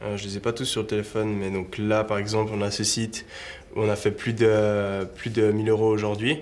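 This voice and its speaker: Audible room echo surrounds a man speaking at a fairly low pitch and a moderate pace. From Switzerland, Lausanne (Vaud). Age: 20s. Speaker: e-commerce entrepreneur. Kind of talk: interview. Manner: casual, hesitant with fillers.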